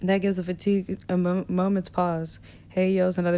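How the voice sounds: What you hear is a natural reading voice.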